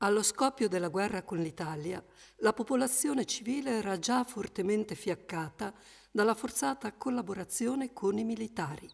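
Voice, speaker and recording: A woman's fairly high voice, an ordinary speaking voice with lively intonation. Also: moderate pace. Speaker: voice-over reader. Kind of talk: documentary reading of wartime letters.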